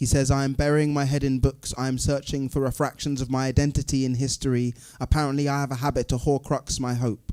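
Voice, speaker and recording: Over a silent background in a very clean recording, a man talks at a very fast pace with a medium pitch, a dark, mellow tone and monotone, flat intonation. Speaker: spoken word poet. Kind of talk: live poetry performance.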